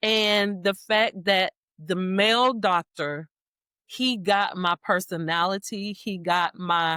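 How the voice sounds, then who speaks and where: Here a woman with a Southern US accent speaks at a medium pitch in a bright, sharp tone, with ordinary pitch variation. The sound is dry and close with no echo, on a very clean recording with a silent background. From US South. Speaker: breast cancer survivor and author. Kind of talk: interview. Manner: talkative.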